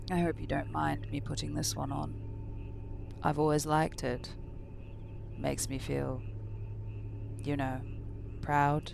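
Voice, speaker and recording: A man performs a put-on character voice at a moderate pace. Loud background noise is present. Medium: read story. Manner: smooth, courteous menace.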